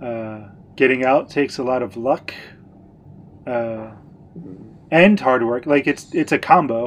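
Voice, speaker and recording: Here a man with an American accent talks at a fairly slow pace, with long, frequent pauses. His pitch is medium and its variation ordinary. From United States. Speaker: podcast co-host. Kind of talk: casual chat.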